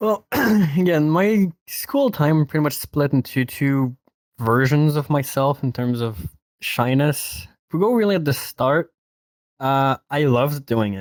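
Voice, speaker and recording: Spoken with a Quebec accent and lively intonation at a fairly slow pace, the voice sounds dry and close with no echo in a very clean recording against a silent background. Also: man. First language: French. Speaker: podcast guest. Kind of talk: casual chat.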